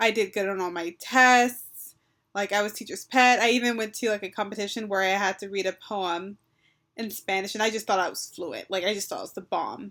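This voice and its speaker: A woman with an American accent speaks at a fairly high pitch with fairly even intonation, recorded very cleanly against a silent background. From Texas. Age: 20s. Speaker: language learner and vlogger. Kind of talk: personal vlog storytelling. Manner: hesitant, many fillers.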